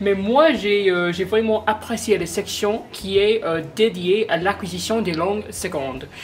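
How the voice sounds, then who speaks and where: Over noticeable background noise, a woman speaks at a very slow pace in a medium pitch with hardly any pauses. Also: ordinary pitch variation. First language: not French (speaking French). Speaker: museum visitor. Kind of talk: interview testimony. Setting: museum. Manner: halting, many hesitations.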